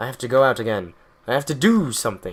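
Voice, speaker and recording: A very fast put-on character voice on a very clean recording with a silent background. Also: man. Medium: read story.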